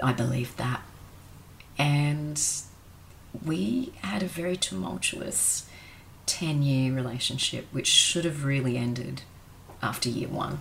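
A woman's very deep, low voice with an Australian accent, at a fairly slow pace with long, frequent pauses. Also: lively intonation. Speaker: former escort sharing life story. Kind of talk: personal testimony interview.

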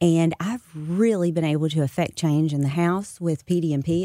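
In an American accent, a woman with a fairly low pitch and a dark, mellow tone speaks at a fairly quick pace with ordinary pitch variation. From US South. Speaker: state politician and memoir author. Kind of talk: radio interview. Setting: radio studio.

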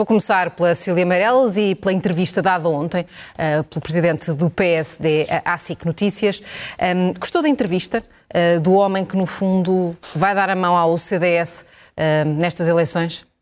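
Speaking at a moderate pace, a woman with an ordinary speaking voice has a fairly low pitch and ordinary pitch variation. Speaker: TV news anchor. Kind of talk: televised political debate moderation.

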